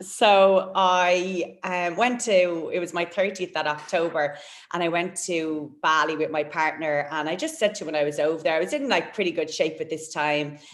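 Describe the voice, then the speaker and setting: A woman speaks with a Waterford Irish accent at a moderate pace, her fairly low voice moving in fairly even intonation with hardly any pauses. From Ireland, Waterford. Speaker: personal trainer and bodybuilder. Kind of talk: casual chat.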